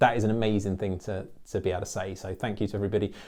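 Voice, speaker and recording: Delivered at a very fast pace, this dark, mellow voice with an English accent comes through on a very clean recording against a silent background. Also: man. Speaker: accountant and business YouTuber. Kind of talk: channel update monologue. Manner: animated.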